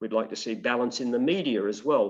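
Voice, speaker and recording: A man with an Australian accent talks at a fairly quick pace over a quiet background. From Maitland, New South Wales, Australia. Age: 60s. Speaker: political candidate. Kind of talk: interview. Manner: halting, with many fillers.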